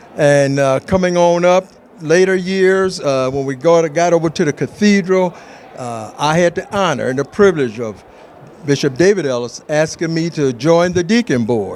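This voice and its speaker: A man speaks at a moderate pace, his high pitch showing ordinary variation. Noticeable background noise is present throughout. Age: 60s. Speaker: church deacon. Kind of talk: testimony.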